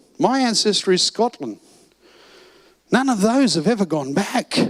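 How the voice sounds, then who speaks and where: Animated and with lively intonation, a man with an Australian accent speaks at a moderate pace in a dry, close sound with no echo. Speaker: financial seminar presenter. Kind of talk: seminar talk.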